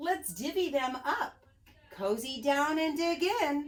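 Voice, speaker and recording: A woman puts on a character voice, high-pitched and at a fairly slow pace. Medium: read story.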